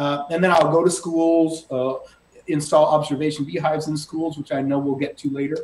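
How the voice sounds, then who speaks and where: Over noticeable background noise, a man talks at a fairly quick pace. His fairly high voice holds a monotone, flat intonation. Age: 60s. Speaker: beekeeper. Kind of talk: casual interview.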